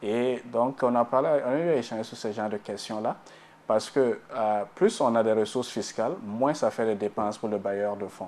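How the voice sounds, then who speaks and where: At a moderate pace, a man speaks with a Burkinabè accent. His pitch is medium, with ordinary pitch variation. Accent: African (Burkinabè) French. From Burkina Faso. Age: 30s. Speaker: economist. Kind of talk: TV interview.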